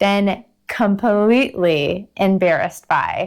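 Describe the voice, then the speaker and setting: With an American accent, a woman talks at a medium pitch with ordinary pitch variation. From United States. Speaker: vlogger. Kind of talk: casual talk to camera.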